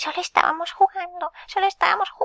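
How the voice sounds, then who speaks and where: Here a woman uses a put-on character voice at an extremely high pitch. She talks at a fairly quick pace. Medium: read story. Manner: obsequious, calls him "señor mago".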